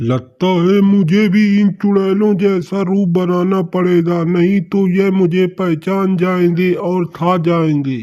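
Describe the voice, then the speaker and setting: A man puts on a character voice pitched high for a man, talking at a very slow pace with hardly any pauses. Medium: audio drama. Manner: nervous, exclaiming.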